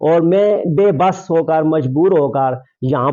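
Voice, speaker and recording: Ordinary pitch variation marks a man's dark, mellow tone. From Pakistan, Abbottabad district (Circle Bakote). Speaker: local election candidate making a complaint. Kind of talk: press statement to media. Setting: media interview. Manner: formal.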